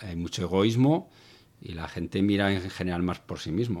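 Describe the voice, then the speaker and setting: The recording is very clean and the background silent. A man speaks at a moderate pace, his pitch varying in an ordinary way. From northern Spain, Zaragoza. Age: 50s. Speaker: former soldier. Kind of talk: interview about personal faith.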